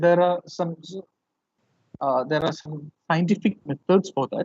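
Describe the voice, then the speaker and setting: Very slow speech in a Keralan accent. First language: Malayalam. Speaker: professor. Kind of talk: lecture. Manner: halting.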